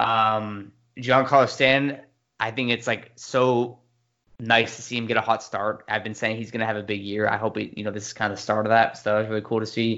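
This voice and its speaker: At a fairly quick pace, a man with an American accent speaks in a medium pitch. His intonation is monotone and flat. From US West Coast, San Diego. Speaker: sports podcast co-host. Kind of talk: casual chat.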